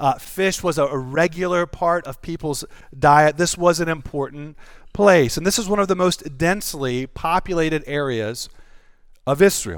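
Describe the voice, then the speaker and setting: In a Southern US accent, a man with a fairly high pitch speaks at a moderate pace with ordinary pitch variation, on a very clean recording with a silent background. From North Carolina. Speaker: pastor. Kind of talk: sermon. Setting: church.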